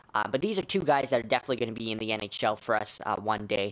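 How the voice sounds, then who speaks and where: The speaker is a man. His voice is at a medium pitch. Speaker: gaming YouTuber. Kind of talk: gameplay commentary. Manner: fast; stumbling, many fillers.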